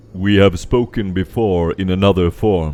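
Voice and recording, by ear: A man uses a put-on character voice, booming and very deep in pitch. He talks at a moderate pace.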